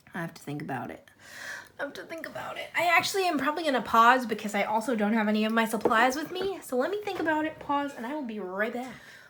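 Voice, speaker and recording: Noticeable background noise sits under a woman speaking at a very fast pace in a high pitch. Her pitch swings very widely, and her loudness swings a lot. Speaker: coloring YouTuber. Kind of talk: casual chat. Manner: animated.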